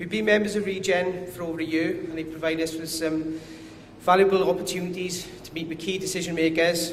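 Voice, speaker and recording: With a strong Welsh accent, a man speaks in a high, flat monotone amid noticeable background noise and audible room echo. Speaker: company commercial director. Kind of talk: conference presentation.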